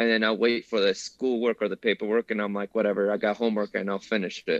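Recorded with a dry, close sound, no echo and a quiet background, a man speaks in a fairly low pitch with a Spanish accent. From Mexico. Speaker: Marine veteran. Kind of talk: casual interview.

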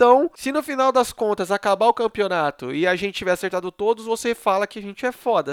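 A man's high-pitched, animated voice at a fairly quick pace with lively intonation, dry and close with no echo, in a very clean recording over a silent background. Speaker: podcast host. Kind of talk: casual chat. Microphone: new microphone.

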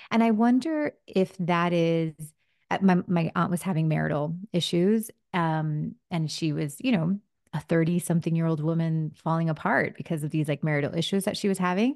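A woman with a fairly low voice talks at a moderate pace with ordinary pitch variation, in a dry, close sound with no echo. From US, Miami (Cuban-American family). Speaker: intuitive reader and spiritual author. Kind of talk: interview conversation. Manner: animated.

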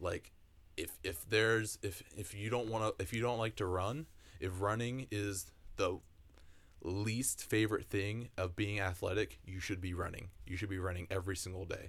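A somewhat breathy, fairly low male voice at a moderate pace with ordinary pitch variation, very cleanly recorded against a silent background. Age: 20s. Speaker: podcast co-host. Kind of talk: casual chat.

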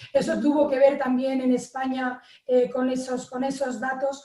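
This woman's voice is high in pitch. Her tone is dark and mellow. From Spain. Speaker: water polo player. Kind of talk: live panel discussion.

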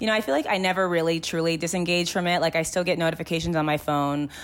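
A woman's fairly low voice in a Californian accent, at a very fast pace. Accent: Californian American. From Los Angeles, San Fernando Valley. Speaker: podcast producer. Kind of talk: interview. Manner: casual, filler-heavy.

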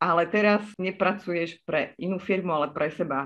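Using an ordinary speaking voice, a woman talks at a medium pitch with ordinary pitch variation. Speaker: podcast host. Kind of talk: interview.

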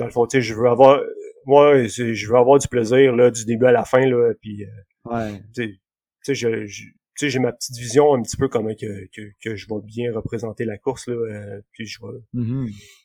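At a moderate pace, a man speaks in a medium pitch with a dark, mellow tone and monotone, flat intonation, his loudness swinging widely in a dry, close sound with no echo. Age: 30s. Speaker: amateur runner. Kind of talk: casual interview. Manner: halting.

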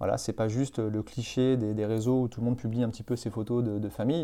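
The speaker is a man with a dark, mellow tone at medium pitch. He talks at a fairly quick pace. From France, Vendée. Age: 30s. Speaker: marketing agency director. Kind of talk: interview.

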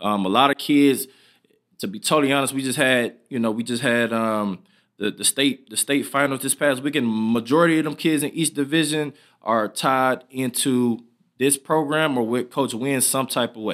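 An ordinary speaking voice from a man with an American accent, medium pitch, ordinary pitch variation and a moderate pace, on a very clean recording with a silent background. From Michigan, Southfield. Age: 20s. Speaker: podcast host, former athlete. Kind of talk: casual interview.

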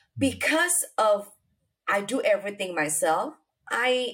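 With an Indonesian accent, a woman talks at a very slow pace, her pitch swinging very widely. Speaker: real estate investor. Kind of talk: interview. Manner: halting.

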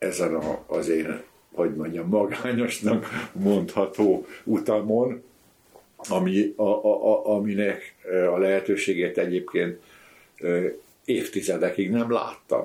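Long, frequent pauses break up this man's very slow delivery. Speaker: conservation engineer. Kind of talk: casual chat. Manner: halting, many fillers.

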